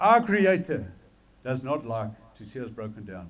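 A man with an Afrikaans accent speaks with very wide pitch swings. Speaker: preacher. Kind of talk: sermon to a men's gathering. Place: stage. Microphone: headset.

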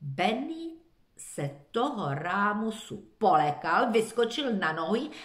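Natural reading, aloud and unadorned.

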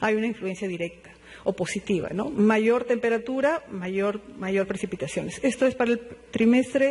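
A man at a moderate pace, high in pitch, with a slightly mellow tone. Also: ordinary pitch variation.

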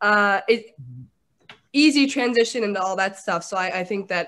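A woman is speaking. Her pitch variation is ordinary. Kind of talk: casual comedic discussion. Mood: playful, mock-serious. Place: home room. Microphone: video call.

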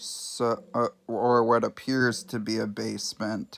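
Very slowly, a man speaks with fairly even intonation. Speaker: amateur movie reviewer. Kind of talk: casual talk to camera. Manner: stuttering. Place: home room. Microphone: phone near.

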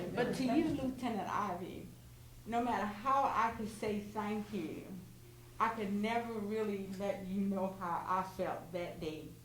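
A woman speaks fairly slowly at a medium pitch with ordinary pitch variation. Audible room echo and noticeable background noise are present. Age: 70s. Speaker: resident giving thanks. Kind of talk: public thank-you speech.

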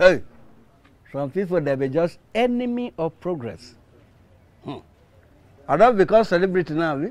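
A man's high voice with big swings in loudness. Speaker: drama actor. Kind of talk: scripted drama dialogue, pidgin English. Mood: mocking, indignant. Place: street.

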